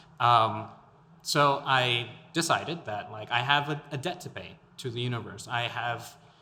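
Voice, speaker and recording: A man's medium-pitched voice in an American accent, bright and sharp in tone, with ordinary pitch variation, a moderate pace and audible room echo. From El Paso, Texas. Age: 20s. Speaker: podcast host and local political candidate. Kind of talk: interview conversation. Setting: artist studio.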